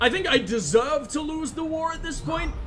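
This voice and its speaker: A man with a British accent speaks in an animated tone at a moderate pace with very wide pitch swings, along with music in the background and audible room echo. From UK. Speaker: gaming streamer. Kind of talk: gameplay commentary.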